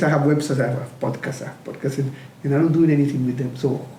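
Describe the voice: A man with a dark, mellow tone talks at a fairly quick pace, with audible room echo around him.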